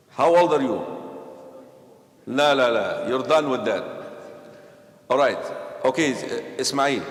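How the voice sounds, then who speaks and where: A man with an Egyptian accent speaks at a fairly slow pace, leaving long, frequent pauses. Noticeable background noise and audible room echo fill the recording. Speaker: imam. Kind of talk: religious class discussion with youth. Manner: animated.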